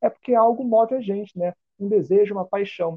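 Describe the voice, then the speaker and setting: A man's high-pitched voice with lively intonation. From Brazil, Rio de Janeiro (Campo Grande). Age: 20s. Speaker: history student and community prep-course teacher. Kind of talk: casual interview.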